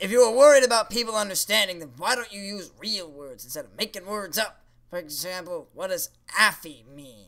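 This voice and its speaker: In a cartoonish character voice, a man talks at a fairly quick pace and a high pitch. His intonation is lively, with big swings in loudness. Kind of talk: comedy puppet show dialogue. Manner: sarcastic, dismissive.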